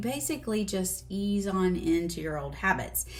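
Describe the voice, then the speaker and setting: The speaker has a Southern US accent. The delivery is fairly slow. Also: woman. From US South. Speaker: weight loss doctor. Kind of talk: video lesson. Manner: casual.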